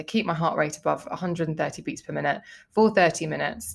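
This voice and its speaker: A woman talks in an unremarkable speaking voice with ordinary pitch variation. The recording is very clean, with a silent background. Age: 40s. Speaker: beauty journalist and podcaster. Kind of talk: casual chat.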